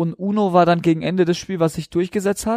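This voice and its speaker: A man speaks at a high pitch with monotone, flat intonation. The recording is very clean and dry, with a silent background, a close sound and no echo. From southern Baden, Germany. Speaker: professional footballer. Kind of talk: casual interview.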